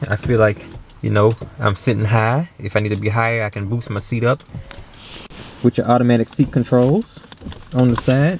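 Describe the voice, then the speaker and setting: A man talking at a fairly quick pace amid noticeable background noise, with long, frequent pauses. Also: medium pitch for a man, ordinary pitch variation. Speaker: car reviewer. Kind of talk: casual car review walkthrough. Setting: inside a car. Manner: casual, conversational.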